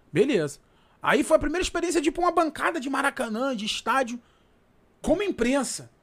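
Speaking at a fairly quick pace, a man with an extremely high voice leaves long, frequent pauses. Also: lively intonation. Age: 30s. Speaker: radio sports reporter. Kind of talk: casual interview chat.

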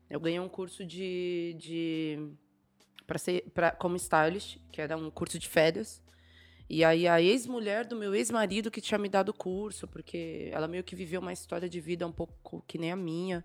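An ordinary speaking voice with ordinary pitch variation moves at a moderate pace and shows big swings in loudness on a very clean recording with a silent background. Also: woman. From São Paulo, East Zone periphery. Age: 30s. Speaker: stylist and creative director. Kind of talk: casual chat.

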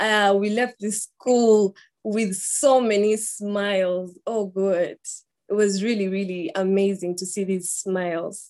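A woman speaks at a medium pitch with a Ugandan accent. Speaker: student and volunteer. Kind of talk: slide presentation. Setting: video call. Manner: excited, nervous.

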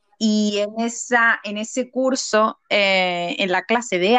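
The voice moves at a very slow pace with fairly even intonation and a bright, sharp tone. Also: woman. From Seville, southern Spain. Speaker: podcaster and mother. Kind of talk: casual interview chat.

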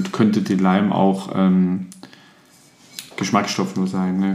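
A man speaks at a fairly slow pace in a very deep, low voice with ordinary pitch variation, with audible room echo and noticeable background noise. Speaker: podcast co-host, gin tasting. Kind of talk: casual chat.

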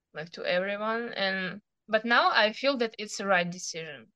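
A woman speaks at medium pitch in a clear, smooth yet bright, sharp tone, with ordinary pitch variation. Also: moderate pace, dry, close sound with no echo.

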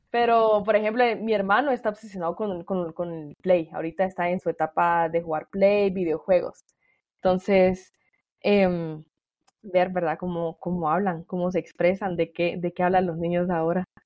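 In an ordinary speaking voice, a woman talks at a medium pitch and moderate pace with fairly even intonation. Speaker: podcast host. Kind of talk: interview.

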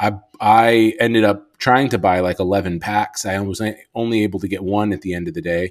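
A man with an American accent speaks fairly quickly at fairly low pitch, with ordinary pitch variation. His is an unremarkable speaking voice. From Chicago, US. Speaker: podcast host. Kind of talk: podcast interview.

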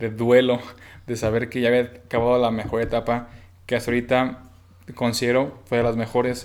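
This voice belongs to a man. It falls at a medium pitch. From Mexico, Bajío (Guanajuato). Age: 20s. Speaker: student entrepreneur. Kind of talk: casual chat.

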